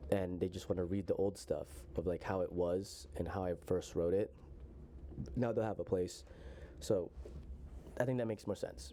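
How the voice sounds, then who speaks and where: A man with a very deep, low pitch and a dark, mellow tone speaks at a moderate pace with vocal fry, ordinary pitch variation, and long, frequent pauses. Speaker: author reading own story on channel. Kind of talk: casual chat. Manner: halting, many fillers.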